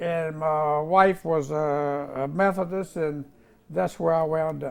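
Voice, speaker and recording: A man's fairly high voice at a fairly slow pace, with ordinary pitch variation, on a very clean recording with a silent background. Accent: Virginia. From US South, Virginia (Roanoke area). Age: 80s+. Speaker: war veteran. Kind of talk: oral history interview. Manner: halting.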